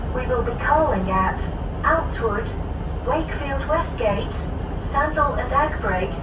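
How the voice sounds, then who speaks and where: Noticeable background noise fills the recording. A woman speaks at a very slow pace. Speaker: recorded onboard announcer. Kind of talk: public announcement. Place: train.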